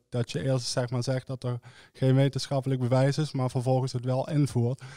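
A man speaks with a dark, mellow tone and monotone, flat intonation. The background is quiet. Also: dry sound with no echo. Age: 20s. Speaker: young politician, student; young politician. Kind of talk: political discussion. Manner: hesitant, many fillers. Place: studio. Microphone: studio mic.

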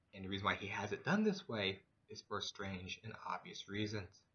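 This man's pitch is fairly low. He keeps a moderate pace. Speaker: vlogger. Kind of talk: casual vlog monologue on religion. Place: home room. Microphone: webcam.

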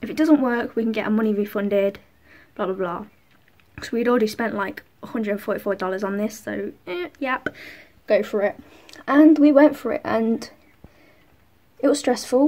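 Pausing long and often, a woman keeps a moderate pace and ordinary pitch variation. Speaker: vlogger. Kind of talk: casual vlog chat. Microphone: phone near.

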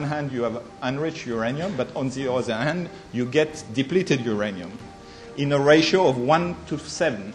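With faint music playing in the background, a man speaks in a French accent at a moderate pace with lively intonation. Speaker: conference speaker. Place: meeting room. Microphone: podium.

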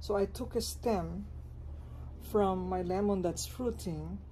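A woman talks over noticeable background noise. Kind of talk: tutorial. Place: garden. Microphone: phone near.

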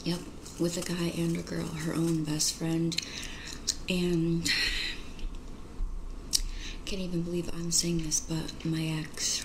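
The voice is soft-spoken and flat, delivered in a monotone at a very slow pace with long, frequent pauses. Noticeable background noise sits behind it. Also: woman. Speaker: roleplay video host. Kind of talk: roleplay monologue in a soft gossipy tone. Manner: soft, gossipy ASMR voice in character. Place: home room.

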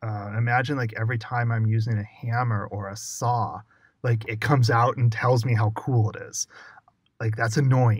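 An American-accented man speaks at a medium pitch and a moderate pace, his voice somewhat breathy. His intonation stays monotone and flat. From US Southwest (Arizona). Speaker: UX writer. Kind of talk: casual interview.

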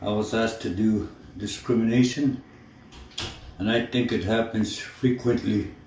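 A man speaks at a moderate pace in a flat, monotone way, his voice somewhat breathy, with audible room echo and light background noise. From Manitoulin Island, Ontario, Canada. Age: old. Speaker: First Nations elder. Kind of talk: personal testimony to camera. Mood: calm, earnest, measured. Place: home room. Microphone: phone near.

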